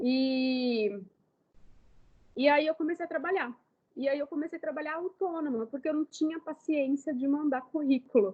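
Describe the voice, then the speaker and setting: A woman speaking with ordinary pitch variation. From Brazil, Ribeirão Preto (São Paulo state). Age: 30s. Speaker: makeup artist. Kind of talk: lecture. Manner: casual.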